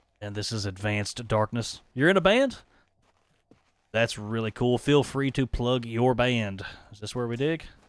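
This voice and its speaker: A man with a Southern accent speaks at a medium pitch and a moderate pace, with ordinary pitch variation, big swings in loudness and long, frequent pauses. The recording is very clean with a silent background. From East Tennessee, Appalachia. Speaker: gaming streamer. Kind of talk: live gameplay commentary. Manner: animated.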